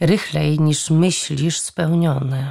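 This is a woman's voice. It sits very deep and low in pitch. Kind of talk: audiobook reading of fantasy novel, scripted narration. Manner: expressive storytelling, vivid and measured.

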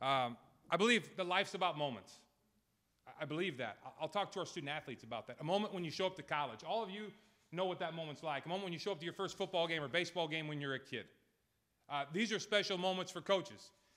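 A man with an American accent talks at a fast pace, his pitch fairly high, his tone fairly bright and his intonation lively.

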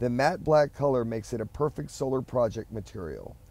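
This man talks at a fairly quick pace in a medium pitch, his intonation lively. His tone is dark and mellow, with vocal fry. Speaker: channel host. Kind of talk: DIY science voiceover narration. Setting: recorded inside a parked car.

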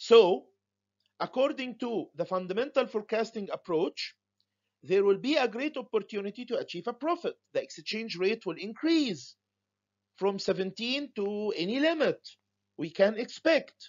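A man's high-pitched voice with lively intonation, a moderate pace and long, frequent pauses. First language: Arabic. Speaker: university lecturer. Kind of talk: lecture. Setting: home recording for online students.

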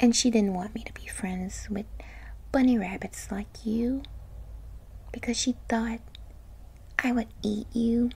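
Fairly slow, playful, animated speech broken by long, frequent pauses over noticeable background noise. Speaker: ASMR roleplay performer. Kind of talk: asmr roleplay, playful seductive lamia character monologue. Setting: roleplay addressing a listener as a rabbit. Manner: playful, teasing, mischievous, soft intimate delivery with giggles; animated, whiny with mom, then coaxing and sly with the rabbit.

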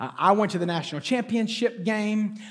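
Quiet background behind a man speaking. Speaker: pastor. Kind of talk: sermon. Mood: playful, joking. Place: stage. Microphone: headset.

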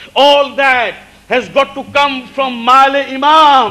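A man with an extremely high pitch and a bright, sharp tone speaks slowly with ordinary pitch variation.

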